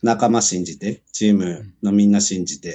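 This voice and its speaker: A man with a fairly low pitch has an unremarkable speaking voice. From Japan, Kumagaya, Saitama. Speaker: professional rugby player. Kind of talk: casual interview.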